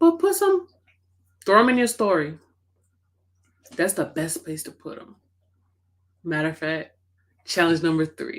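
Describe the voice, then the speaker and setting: A soft-spoken woman at a moderate pace, with long, frequent pauses and big swings in loudness. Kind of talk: team motivational talk.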